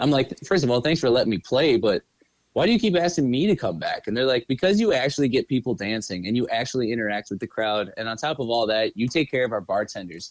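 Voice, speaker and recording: A man talks with a Midwestern accent at a medium pitch. His intonation is lively. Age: 30s. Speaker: musician and music manager. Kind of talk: casual chat. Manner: mumbly; animated.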